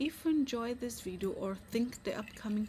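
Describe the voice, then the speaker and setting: With a Brazilian accent, a woman speaks at a fairly high pitch in a dark, mellow tone. Her voice is somewhat breathy and her pace moderate. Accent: Brazilian Portuguese accent, noticeable. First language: Portuguese. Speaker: vlogger. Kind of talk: casual vlog talk to camera. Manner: halting, with restarts and fillers.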